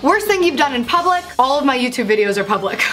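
Over faint background music, a woman talks at a very fast pace in a high voice. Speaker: vlogger. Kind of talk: casual vlog Q&A with jokes. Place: home room.

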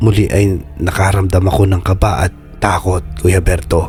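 A man is speaking. Music plays in the background. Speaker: voice actor and horror story narrator. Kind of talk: horror story narration.

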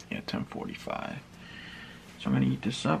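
This is a man's voice. Light background noise sits behind it. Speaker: fitness vlogger. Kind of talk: casual vlog chat. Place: home room. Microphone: phone near.

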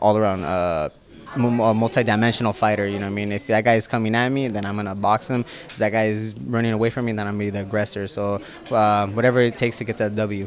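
A man speaks very fast at a fairly low pitch with fairly even intonation. The sound is dry with no echo, and there is light background noise. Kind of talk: interview answer. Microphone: handheld.

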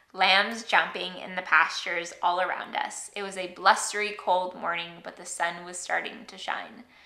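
Over noticeable background noise and audible room echo, a woman at a medium pitch talks at a moderate pace with fairly even intonation. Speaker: vlogger. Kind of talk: casual vlog monologue.

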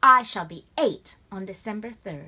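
Someone reads a text out in a natural voice, and the pitch moves about as much as normal speech does.

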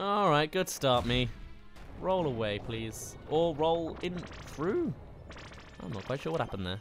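Music plays behind a man who talks at a fairly slow pace, his pitch swinging very widely, with long pauses coming often. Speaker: video game streamer. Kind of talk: casual, chatty.

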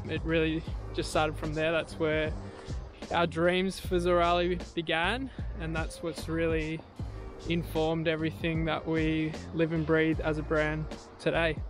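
With clear music in the background, a man speaks at a fairly slow pace with long, frequent pauses in a dry sound with no echo. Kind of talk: casual vlog chat. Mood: calm, warm, reflective. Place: beach. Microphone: phone near.

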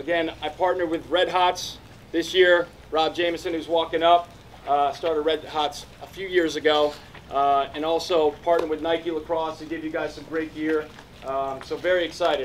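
A man's monotone voice with flat intonation, a moderate pace and light background noise. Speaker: camp coach. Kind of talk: welcome speech. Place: open country.

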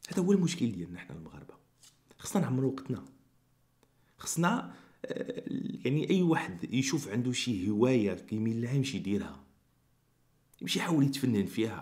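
A man with a Moroccan accent at a medium pitch, with very wide pitch swings, big swings in loudness, long, frequent pauses and a moderate pace against a quiet background. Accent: Moroccan Arabic (Darija). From Morocco. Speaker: YouTuber. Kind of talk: commentary vlog. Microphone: studio mic.

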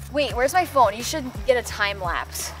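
Clear music plays in the background. A woman talks over it at a fairly quick pace. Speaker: vlogger. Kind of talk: casual vlog chat.

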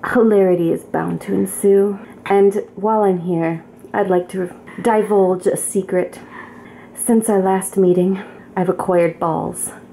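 A female-sounding, raspy put-on character voice at a medium pitch moves at a moderate pace with long, frequent pauses, over light background noise. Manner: mock-formal, theatrical.

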